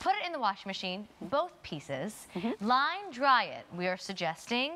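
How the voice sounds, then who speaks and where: Upbeat in tone, a woman talks at a moderate pace with very wide pitch swings. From Baltimore. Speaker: shopping channel host. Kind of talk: sales presentation. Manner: upbeat, chatty sales patter. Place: studio. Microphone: lapel.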